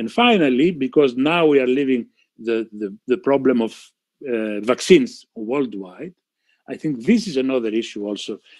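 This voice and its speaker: This man has a Greek accent and a medium pitch. He talks at a moderate pace with ordinary pitch variation. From Greece. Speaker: physician, panel speaker. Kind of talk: panel talk. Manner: halting, many fillers and repeats.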